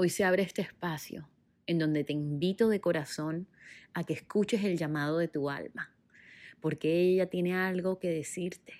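A woman's plain, everyday voice at a fairly low pitch, moderate in pace with ordinary pitch variation, on a very clean recording with a silent background. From Colombia, Caribbean coast (Barranquilla). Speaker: personal development coach and podcaster. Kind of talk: personal monologue, inspirational. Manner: warm, gentle.

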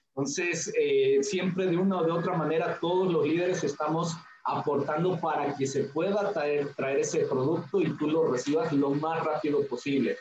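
The speaker's intonation stays fairly even, with hardly any pauses. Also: man, high pitch for a man, moderate pace, very even loudness. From Mexico, Hidalgo (Tulancingo). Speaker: network marketing leader. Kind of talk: interview. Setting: video call.

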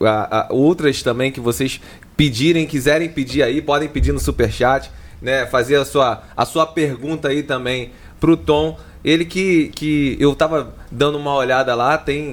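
A man's fairly high voice with vocal fry, fairly even intonation and a fairly slow pace. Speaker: podcast host. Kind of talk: casual podcast interview.

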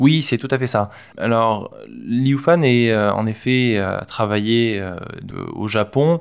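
The speaker is a man with a medium pitch. He talks very slowly, with ordinary pitch variation. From Provence, southern France. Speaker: project manager for an art foundation. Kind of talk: interview. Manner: halting, with fillers and repetitions.

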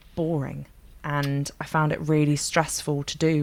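A woman's very deep, low voice in a London accent, flat and monotone at a moderate pace. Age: 30s. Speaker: singer-songwriter. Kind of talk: casual chat.

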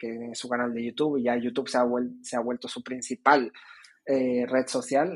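The man's voice sits at medium pitch with fairly even intonation. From Canary Islands (Tenerife). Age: 20s. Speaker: student organization representative. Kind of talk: interview. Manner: halting, many fillers and repetitions.

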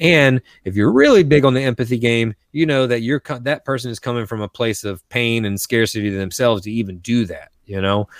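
With an American accent, a man speaks in an ordinary speaking voice at a medium pitch and fairly quick pace, with ordinary pitch variation, hardly any pauses and a dry, close sound with no echo on a very clean recording with a silent background. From coastal North Carolina, US South. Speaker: storytelling coach and speaker. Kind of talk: interview.

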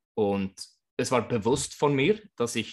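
Against a quiet background, a man is speaking. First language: Swedish (speaking German). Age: 40s. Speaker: floorball coach. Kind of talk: interview.

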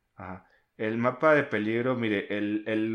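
Against a quiet background, a man speaks very slowly in a medium pitch. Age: 30s. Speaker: podcast co-host. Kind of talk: casual chat.

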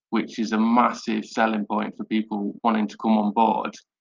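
Fairly slowly, a man talks in a dry, close sound with no echo. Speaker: AMA host. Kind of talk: interview.

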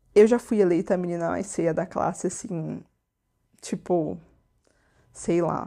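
In a dark, mellow tone with vocal fry, a woman speaks at a fairly low pitch and fairly slow pace, her intonation fairly even and her pauses long and frequent. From Brazil, interior of São Paulo state. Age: 20s. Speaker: podcast host. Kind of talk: personal monologue podcast. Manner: casual, conversational.

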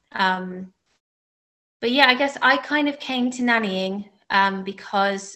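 Spoken at a fairly slow pace, this voice has a bright, sharp tone and an Australian accent. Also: woman. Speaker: nanny and researcher. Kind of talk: personal talk at online panel. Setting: video call.

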